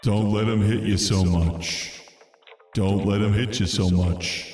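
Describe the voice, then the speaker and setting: A man puts on a character voice at a fairly low pitch and a fairly slow pace. A clear echo surrounds the recording. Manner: urging, repeated.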